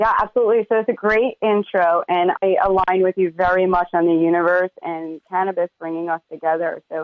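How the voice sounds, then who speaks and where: A woman with a New York accent talks at a fairly quick pace and medium pitch, with fairly even intonation and hardly any pauses. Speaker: cannabis media entrepreneur. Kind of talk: interview.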